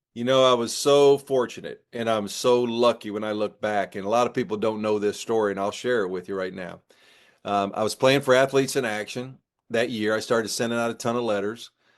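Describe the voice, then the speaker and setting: A man's normal speaking voice, medium in pitch and fairly quick, with fairly even intonation over a quiet background. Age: 60s. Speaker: former college basketball coach. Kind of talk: interview.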